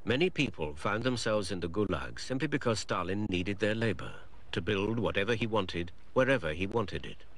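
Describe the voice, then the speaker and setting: Using an ordinary speaking voice, the speaker goes at a fairly quick pace, the pitch varying in an ordinary way. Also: man, fairly low pitch for a man. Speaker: documentary narrator. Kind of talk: 1990 documentary narration. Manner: formal, measured, grave; even, authoritative.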